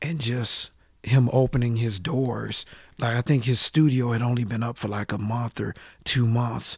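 Somewhat breathy, a man with an American accent speaks at medium pitch and a moderate pace. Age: 40s. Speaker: hip-hop artist. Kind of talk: casual interview. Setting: studio.

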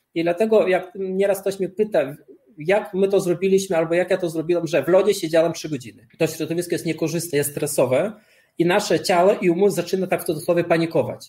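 The voice has a dark, mellow tone, fairly even intonation, and a very fast pace. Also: man. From Lithuania. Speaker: cold-exposure athlete and author. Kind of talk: interview.

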